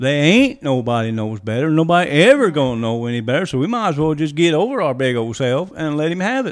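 Here a man talks very fast in a fairly high voice. He barely pauses at all. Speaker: co-host and prayer leader. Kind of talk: casual religious talk and prayer.

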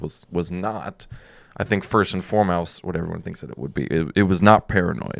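Pitch rises and falls in an ordinary way as the words come at a fairly quick pace. The background is silent and the recording very clean. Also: man. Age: 20s. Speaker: podcast producer and host's son. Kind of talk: casual chat.

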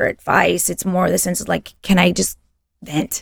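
A woman with vocal fry talks at a moderate pace in a dry, close sound with no echo. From Texas. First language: Spanish. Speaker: mezcal brand sales representative. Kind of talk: casual chat.

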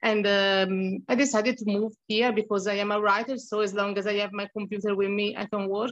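In an Italian accent, a woman talks at a fairly quick pace and a medium pitch with a monotone, flat intonation. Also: hardly any pauses. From Tuscany, Italy. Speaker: freelance writer and humanitarian. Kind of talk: casual interview chat. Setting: video call from Cambodia.

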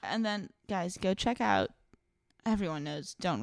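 Her fairly low voice swings very widely in pitch, with vocal fry and an animated, playful tone. The woman speaks at a fairly slow pace. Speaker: podcast co-host. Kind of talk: casual banter, then storytelling about history.

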